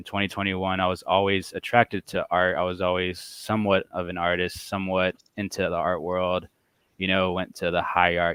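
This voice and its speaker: In a Texan accent, a man talks fairly quickly with a very deep, low pitch and monotone, flat intonation. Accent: Texan American. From Texas, Dallas area. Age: 20s. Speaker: comic book collector. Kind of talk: casual podcast interview.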